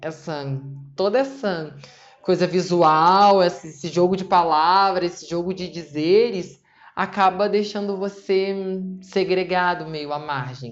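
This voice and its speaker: A woman with a normal speaking voice talks at a fairly slow pace in a medium pitch, with ordinary pitch variation and big swings in loudness. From Rio de Janeiro, Brazil. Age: 20s. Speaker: nursing student and novelist. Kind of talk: interview answer.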